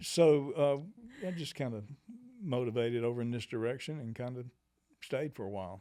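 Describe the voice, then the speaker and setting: A man with a Southern US accent speaks at a medium pitch in a dark, mellow tone, with ordinary pitch variation. His pace is fairly quick, broken by long, frequent pauses. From US South, Georgia (Monroe). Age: 70s. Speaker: musician. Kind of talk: interview. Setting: studio. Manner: halting, many fillers.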